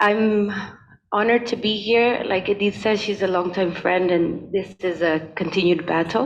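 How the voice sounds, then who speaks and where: A woman's medium-pitched voice at a fairly slow pace, with fairly even intonation and noticeable background noise. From Spain. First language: Spanish. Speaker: conservation expert, keynote speaker. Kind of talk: keynote presentation. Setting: hybrid event, in a room.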